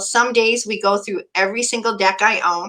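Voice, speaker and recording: A woman with a Canadian accent, fairly high pitch and a bright, sharp tone, at a moderate pace. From Alberta, Canada. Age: 60s. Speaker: Reiki practitioner and oracle reader. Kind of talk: interview.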